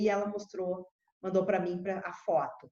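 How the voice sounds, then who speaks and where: A woman speaks in an ordinary speaking voice at a medium pitch. Her pace is moderate. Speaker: agronomist. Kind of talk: presentation.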